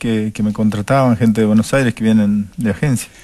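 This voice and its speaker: The male speaker's pitch rises and falls in an ordinary way. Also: quiet background. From Argentina, Jujuy highlands. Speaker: mountain guide. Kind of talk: interview. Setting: studio. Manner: halting, many repetitions and fillers.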